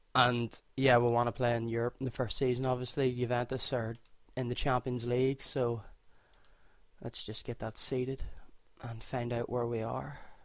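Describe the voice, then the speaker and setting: A man speaks with long, frequent pauses. His intonation stays flat and monotone in a Northern Irish accent. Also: medium pitch for a man, moderate pace. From Northern Ireland. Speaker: gaming YouTuber. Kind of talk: gameplay commentary. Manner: casual, filler-heavy.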